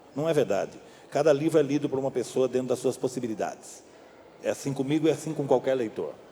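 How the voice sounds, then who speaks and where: A man speaks at a very fast pace with a fairly high pitch and fairly even intonation. Noticeable background noise runs behind him. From Brazil, São Paulo state (Amparo). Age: 60s. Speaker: novelist and screenwriter. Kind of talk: public talk interview. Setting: library event with audience.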